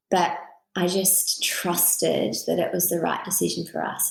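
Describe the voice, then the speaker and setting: Talking fairly slowly, a woman speaks in an Australian accent. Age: 30s. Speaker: author. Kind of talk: interview conversation.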